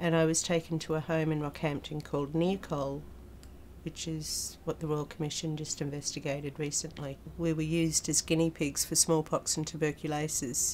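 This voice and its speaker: A woman with an Australian accent, very deep and low in pitch, at a moderate pace with monotone, flat intonation. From Australia, Queensland. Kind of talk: personal testimony. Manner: hesitant, with fillers.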